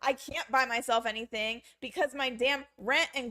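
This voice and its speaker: In an American accent, a woman speaks at a moderate pace in a raised, projected, high-pitched voice, animated and bright and sharp in tone. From United States. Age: 30s. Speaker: vlogger. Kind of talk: emotional vlog rant.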